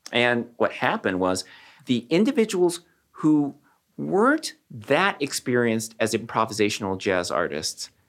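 Delivered in an American accent, the speech has very wide pitch swings. Loudness stays very even at a fairly slow pace. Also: man, medium pitch for a man. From Southern California. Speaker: neurologist and professor. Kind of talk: interview.

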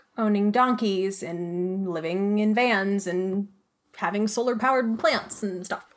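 Her pace is fairly slow, with ordinary pitch variation and medium pitch. The woman has an American accent and an ordinary speaking voice. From Flagstaff, Arizona. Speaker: audio drama creator and writer. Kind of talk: casual interview.

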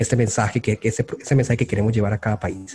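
Dry, close sound with no echo around a man's somewhat breathy voice, medium in pitch with a dark, mellow tone. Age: 30s. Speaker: UX designer. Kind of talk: interview.

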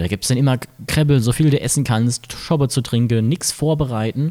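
A man's dark, mellow tone at a fairly quick pace. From Mainz, Germany. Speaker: podcast host. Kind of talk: casual chat. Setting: carnival float.

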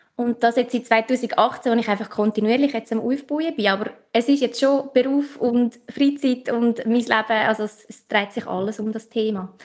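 A woman's fairly high voice in a Central Swiss accent, moderate in pace, with fairly even intonation and hardly any pauses. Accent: Obwalden Swiss German dialect. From central Switzerland, canton Obwalden. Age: young. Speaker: spiritual coach and podcaster. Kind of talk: interview. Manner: calm, soothing.

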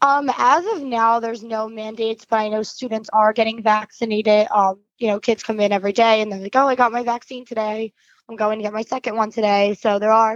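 A woman with an ordinary speaking voice talks at a fairly high pitch and a fairly quick pace, with hardly any pauses. Her intonation is fairly even, and the sound is dry and close with no echo. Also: quiet background. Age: 20s. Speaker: teacher. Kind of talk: interview. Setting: phone call.

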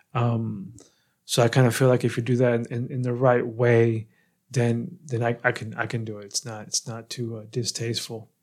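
An ordinary speaking voice from a man with an American accent, medium pitch, fairly even intonation and a moderate pace, on a very clean recording with a silent background. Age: 30s. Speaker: podcast host. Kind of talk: casual interview.

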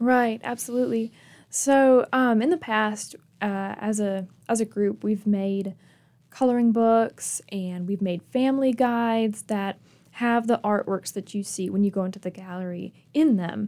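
A woman with an American accent speaks at a fairly slow pace, fairly high in pitch with ordinary variation and a dark, mellow tone. The recording is very clean, with a silent background. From Michigan. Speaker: museum curator. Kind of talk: radio interview.

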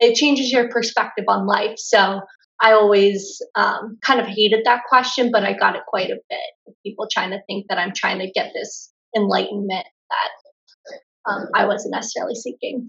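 A woman with a Pennsylvania accent, at a moderate pace. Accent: American (Pennsylvania). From US, Pennsylvania (Lancaster County). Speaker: travel blogger. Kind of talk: casual interview.

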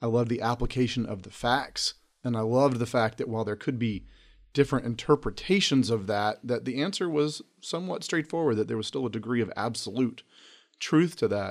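A man with an American accent talks at a fairly quick pace in an unremarkable speaking voice with ordinary pitch variation. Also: medium pitch for a man, very clean recording, silent background. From North Carolina, Charlotte. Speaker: district court judge. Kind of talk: interview.

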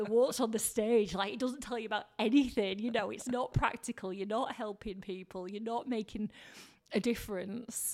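This woman speaks with a Lancashire accent. Her pitch is fairly high, her pace moderate. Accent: Lancashire northern English. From Blackburn, northern England. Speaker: radio presenter and TV reporter. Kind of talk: casual interview chat. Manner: animated, chatty.

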